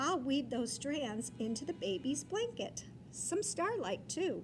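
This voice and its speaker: A woman's high, put-on character voice at a fairly slow pace over loud background noise. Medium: read story.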